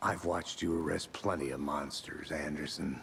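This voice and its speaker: Over clear background noise, a man in a put-on character voice speaks at a moderate pace with a very deep, low, raspy voice and fairly even intonation. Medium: video game. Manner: dry, understated.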